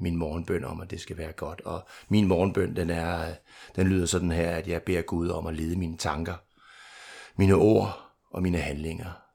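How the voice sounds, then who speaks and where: Fairly slow and fairly even in intonation, a man talks with a very deep, low pitch. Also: very clean recording, silent background. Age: 50s. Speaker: recovering alcoholic sharing at a meeting. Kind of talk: testimony. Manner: hesitant, repeats words.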